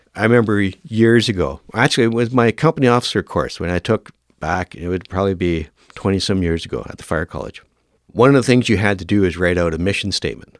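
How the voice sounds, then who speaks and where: In a normal speaking voice with a Canadian accent, a man talks fairly quickly at a fairly low pitch with ordinary pitch variation, and the sound is dry and close with no echo. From Northern Ontario, Canada. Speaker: firefighter and fire academy instructor. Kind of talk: podcast interview.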